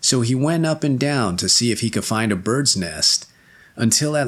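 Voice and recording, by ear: Someone reads aloud in a natural voice, with ordinary rises and falls in pitch.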